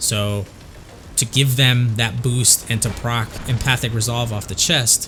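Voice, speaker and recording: A man speaks at a fairly slow pace in a flat, monotone delivery over noticeable background noise. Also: medium pitch for a man. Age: 40s. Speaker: gamer. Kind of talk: game walkthrough commentary. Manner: casual, hesitant with fillers.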